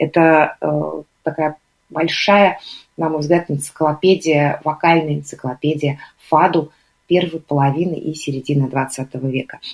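A quiet woman with a very deep, low pitch, fairly even intonation, a fairly slow pace and long, frequent pauses. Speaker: radio host. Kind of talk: radio music show presenting. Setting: live radio broadcast. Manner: calm, quiet.

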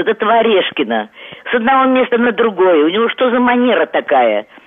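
Very wide pitch swings from a woman at a moderate pace, with noticeable background noise. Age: 70s. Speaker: radio caller. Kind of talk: call-in question. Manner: agitated.

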